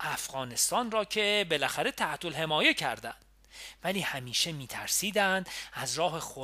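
Someone is reading aloud in a natural voice, with intonation that moves in a lively way.

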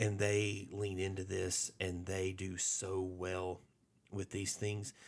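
A man with a Southern US accent speaks in a very deep, low voice with monotone, flat intonation. The recording is very clean, with a silent background. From Alabama. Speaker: pastor. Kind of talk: casual chat.

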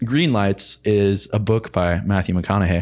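The recording is very clean, with a silent background. A man with an American accent uses an ordinary speaking voice, fairly low in pitch with ordinary pitch variation. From central Illinois, US Midwest. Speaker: college student. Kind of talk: casual chat.

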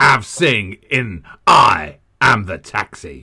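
Putting on a character voice, a man speaks very slowly in a dramatic tone, his fairly low pitch making very wide swings. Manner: dramatic, announcing.

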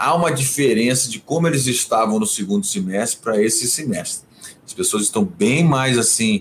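A man speaks at a moderate pace with a medium pitch. His pitch varies in an ordinary way, and there is noticeable background noise. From Rio de Janeiro, Brazil, then Brasília from age 12. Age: 50s. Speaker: cultural manager, music awards founder. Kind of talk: interview on livestream. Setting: home office, video livestream. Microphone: possible echo from same home.

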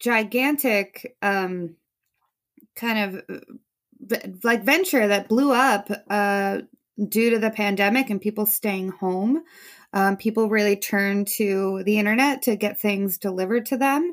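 A woman with a plain, everyday voice and an American accent speaks at a fairly slow pace in a fairly high pitch with ordinary pitch variation, in a very clean recording with a silent background. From New Jersey. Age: 30s. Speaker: sommelier and social media creator. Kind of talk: casual chat.

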